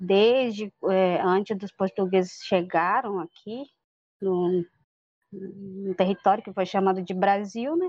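A woman talks very slowly at medium pitch with fairly even intonation. Her loudness swings a lot. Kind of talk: interview. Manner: halting, many fillers.

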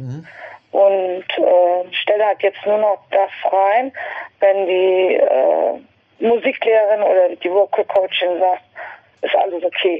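Her medium pitch and ordinary pitch variation mark a woman speaking at a very slow pace. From western Germany, Westerwald (Rhineland-Palatinate). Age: 50s. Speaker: podiatrist and amateur singer. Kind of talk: interview conversation. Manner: halting, many fillers.

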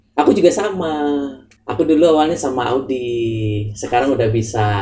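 With ordinary movement in pitch, a man talks fairly quickly in a dark, mellow, somewhat breathy voice. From Java, Indonesia. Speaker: student podcast co-host. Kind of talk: casual chat. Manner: calm.

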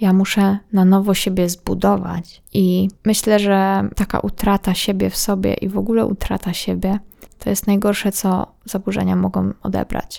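A woman at a moderate pace with hardly any pauses. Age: 20s. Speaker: podcast host. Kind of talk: personal monologue.

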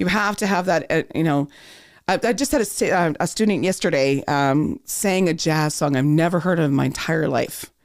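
A woman with a Canadian accent speaks at a moderate pace in a normal speaking voice, fairly low in pitch. Her intonation is lively while her loudness stays very even. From Thunder Bay, northwestern Ontario, Canada. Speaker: voice coach. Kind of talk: casual chat. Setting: studio.

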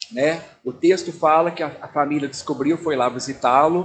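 A man with an ordinary speaking voice talks at a fairly slow pace, his fairly high pitch showing ordinary variation. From Brazil, Belo Horizonte, Minas Gerais. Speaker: pastor. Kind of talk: talk to church audience.

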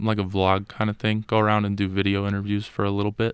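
Against a quiet background, a man with an American accent and a fairly low pitch talks at a fairly quick pace in a monotone, flat intonation. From Las Vegas, US. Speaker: college student. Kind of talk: casual chat. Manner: hesitant with many fillers.

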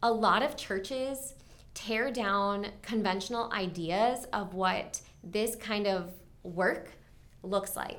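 Speaking very slowly, a woman talks with an American accent. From Maryland, US. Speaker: future missionary. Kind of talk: personal testimony.

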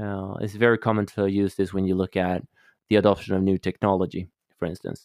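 A man with a Swedish accent speaks fairly quickly at a fairly low pitch in a monotone, flat intonation on a very clean recording with a silent background. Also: dry, close sound with no echo. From Sweden, Stockholm. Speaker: holistic coach. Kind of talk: interview.

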